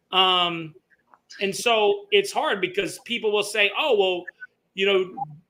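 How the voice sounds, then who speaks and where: Using a raised, projected voice with a bright, sharp tone, a man with a high pitch speaks at a very slow pace with long, frequent pauses. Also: fairly even intonation. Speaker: podcast host, former Marine, business owner. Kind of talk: casual chat. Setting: Mexican restaurant. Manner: hesitant, repeats words.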